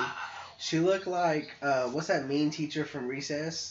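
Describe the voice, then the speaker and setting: A man talks with fairly high pitch and fairly even intonation. Noticeable background noise runs under his voice. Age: 20s. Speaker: podcast co-host. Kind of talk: casual chat.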